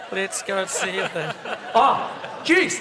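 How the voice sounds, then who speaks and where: A man speaks in a raised, projected voice. There is noticeable background noise. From New Zealand, East Coast of the North Island (Māori). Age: 70s. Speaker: keynote speaker, tech entrepreneur. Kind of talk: conference talk. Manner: casual, humorous.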